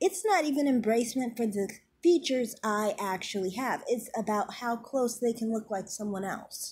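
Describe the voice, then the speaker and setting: Speaking at a moderate pace with a Midwestern American accent, a woman's high voice moves through very wide pitch swings. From US Midwest. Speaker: YouTube commentator. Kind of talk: vlog monologue. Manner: overpronounces words.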